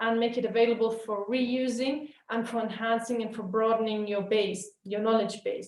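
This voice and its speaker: A woman's fairly high voice, an ordinary speaking voice, at a moderate pace. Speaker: webinar trainer. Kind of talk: webinar lecture.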